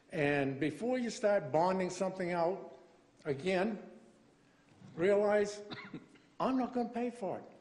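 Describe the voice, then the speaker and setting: Lively intonation at a fairly slow pace, broken by long, frequent pauses, with audible room echo and noticeable background noise. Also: man, high pitch for a man. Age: 70s. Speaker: resident making public comment. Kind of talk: public comment. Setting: council chamber.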